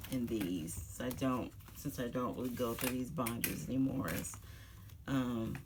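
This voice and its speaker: Noticeable background noise is present. The talking goes along at a fairly slow pace. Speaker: K-pop photocard collector YouTuber. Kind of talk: casual collection flip-through. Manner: hesitant, many fillers.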